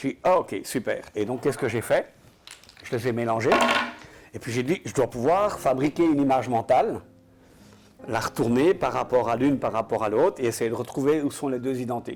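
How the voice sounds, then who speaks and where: A man talks with long, frequent pauses and ordinary pitch variation over noticeable background noise. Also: medium pitch for a man, moderate pace. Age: 60s. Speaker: entrepreneur, game inventor. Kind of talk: interview.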